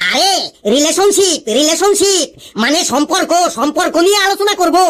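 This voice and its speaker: At a moderate pace, a cartoonish character voice speaks at an extremely high pitch. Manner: scolding, sarcastic.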